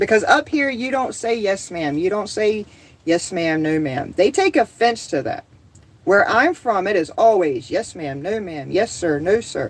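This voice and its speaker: A woman in an American accent at a medium pitch, with very wide pitch swings and a moderate pace. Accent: occasional Southern. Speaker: homesteading livestreamer. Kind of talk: casual livestream chat. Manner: animated.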